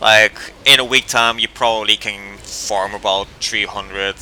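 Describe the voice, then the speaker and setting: Over noticeable background noise, a man speaks at a moderate pace with fairly low pitch and monotone, flat intonation. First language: not English. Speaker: gaming youtuber. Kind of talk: gameplay tutorial commentary. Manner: casual, with many fillers.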